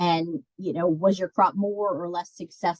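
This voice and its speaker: In a dry, close recording with no echo, a woman with a plain, everyday voice speaks fairly slowly at a fairly low pitch. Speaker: master gardener coordinator. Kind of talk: webinar presentation. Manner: many fillers.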